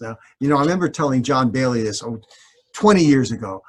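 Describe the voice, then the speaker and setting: Somewhat breathy, a man speaks at a medium pitch. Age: 70s. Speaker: behavioral scientist, university professor. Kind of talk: interview conversation.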